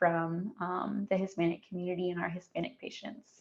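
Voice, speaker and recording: This woman has a plain, everyday voice. She talks at a moderate pace and a medium pitch. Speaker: community outreach coordinator at health center. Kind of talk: podcast interview.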